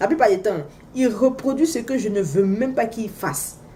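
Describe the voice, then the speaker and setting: A woman's animated, fairly high voice with lively intonation at a moderate pace, with audible room echo. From Africa. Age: 30s. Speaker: vlogger, mother. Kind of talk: casual vlog monologue. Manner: animated, exclamatory; loud when excited.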